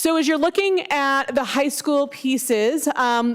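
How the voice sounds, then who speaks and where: A woman speaks loudly. Her pitch variation is ordinary. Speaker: school district staff presenter. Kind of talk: board meeting presentation. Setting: district office meeting room.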